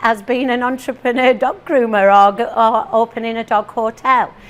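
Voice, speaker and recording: A woman's high voice at a fairly slow pace, with a northeast English accent. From northeast England. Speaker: teacher and motivational speaker. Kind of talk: talk to a live audience. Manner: animated.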